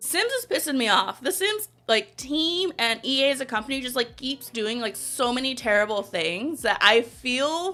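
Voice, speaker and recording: A high-pitched woman's voice with very wide pitch swings, a moderate pace and hardly any pauses. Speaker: streamer. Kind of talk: casual chat. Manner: animated.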